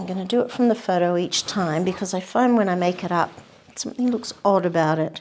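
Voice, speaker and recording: A soft-spoken woman talks at a fairly quick pace. Her pitch is medium, with ordinary pitch variation. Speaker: painting tutor. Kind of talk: painting demonstration. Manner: casual.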